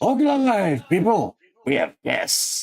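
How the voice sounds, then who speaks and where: A put-on character voice, fairly high and fairly slow. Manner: booming, commanding.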